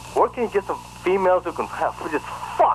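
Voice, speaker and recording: A man rattles off his words at a very fast pace over noticeable background noise. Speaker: caller. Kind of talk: casual chat.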